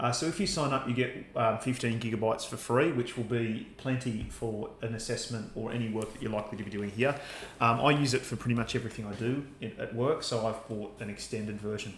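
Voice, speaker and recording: In an Australian accent, a man talks at a fairly quick pace with hardly any pauses, his medium pitch and fairly even intonation carried by audible room echo. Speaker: university lecturer. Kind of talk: lecture. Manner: hesitant, many fillers.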